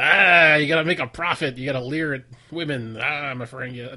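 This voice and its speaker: Here a man uses a put-on character voice at a fairly high pitch. He talks at a fairly quick pace. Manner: leering, greedy, mocking.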